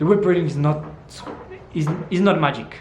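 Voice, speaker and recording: A speaker with a Spanish accent and ordinary pitch variation comes through audible room echo and noticeable background noise. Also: man. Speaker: fitness vlogger. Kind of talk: casual educational talk. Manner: halting, with many fillers.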